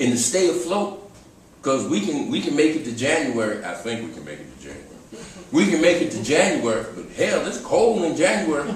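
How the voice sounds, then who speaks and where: Over noticeable background noise and audible room echo, a man talks at a fairly quick pace with a fairly high pitch, very wide pitch swings and big swings in loudness. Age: 60s. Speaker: community arts organizer. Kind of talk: closing speech to audience. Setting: cafe stage with live audience. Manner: impassioned.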